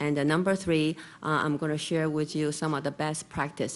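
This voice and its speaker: Against a quiet background, a woman speaks very fast with a Chinese accent. Her pitch is very deep and low. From Taiwan. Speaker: real estate broker. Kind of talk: conference presentation. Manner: halting with many fillers.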